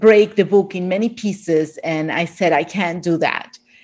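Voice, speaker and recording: A woman speaks with an Argentinian accent. Her intonation stays fairly even. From Argentina. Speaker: author of a plant-based cookbook. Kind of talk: interview about her book. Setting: video call, remote from Miami.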